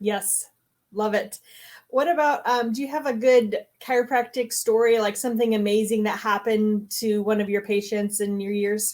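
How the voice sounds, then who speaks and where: In a normal speaking voice with an American accent, a woman talks at a moderate pace, her fairly high pitch held in fairly even intonation. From Michigan. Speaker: chiropractor. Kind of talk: casual interview chat.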